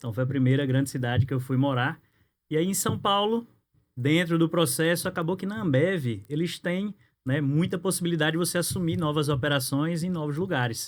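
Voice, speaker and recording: A man talks fairly quickly in a fairly high voice whose pitch varies in an ordinary way. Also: very clean recording, silent background. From Natal, northeast Brazil. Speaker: insurance broker and business networking director. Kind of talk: podcast interview.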